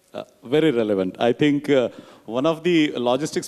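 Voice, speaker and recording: A man's words come fairly quickly. Background noise is clearly audible. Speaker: panel moderator. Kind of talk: panel discussion. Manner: loud.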